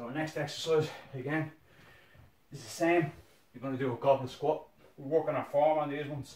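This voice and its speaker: Somewhat breathy and fairly high-pitched, a man speaks at a fairly quick pace amid audible room echo. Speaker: fitness instructor. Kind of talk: guided workout instruction. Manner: energetic, brisk countdown-driven coaching with short commands; encouraging, motivating. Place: home room.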